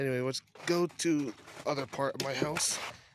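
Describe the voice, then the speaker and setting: A man speaks at a fairly high pitch. Noticeable background noise runs under him. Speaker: vlogger. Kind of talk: casual vlog walkthrough. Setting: outdoors.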